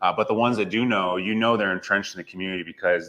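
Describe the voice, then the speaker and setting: In a Western US accent, a man speaks in a fairly low voice with monotone, flat intonation. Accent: General American (western US). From Las Vegas, Nevada. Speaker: real estate agent. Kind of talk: interview. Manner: casual.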